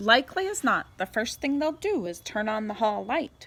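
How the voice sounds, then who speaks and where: Using a put-on character voice, a woman speaks at a moderate pace and a fairly high pitch with very wide pitch swings. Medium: read story.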